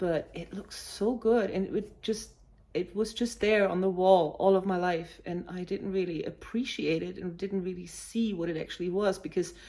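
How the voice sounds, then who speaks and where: A woman with a German accent speaks at a moderate pace and medium pitch. Her tone is dark and mellow, her intonation fairly even. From Germany, village near Hanover. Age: 40s. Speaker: cross-stitch vlogger. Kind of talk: casual vlog talk. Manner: hesitant, many fillers.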